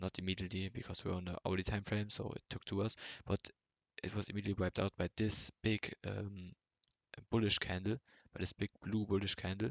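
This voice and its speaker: A man's fairly low voice with a German accent and fairly even intonation. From Germany. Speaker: amateur trader vlogger. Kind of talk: unscripted screen-share tutorial. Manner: halting, many filler words.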